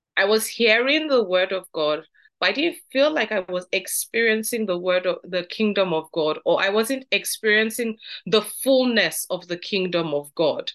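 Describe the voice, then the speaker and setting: Lively intonation from a woman, fairly high in pitch, at a moderate pace. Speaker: Bible study teacher. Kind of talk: Bible study teaching. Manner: lowered, softer tone.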